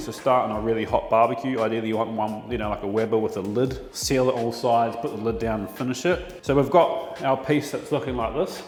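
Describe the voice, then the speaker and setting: A man with an Australian accent, medium-pitched, talking at a fairly quick pace with ordinary pitch variation, plus audible room echo and noticeable background noise. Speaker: chef. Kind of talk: tutorial. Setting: butchery test shop at work. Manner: casual.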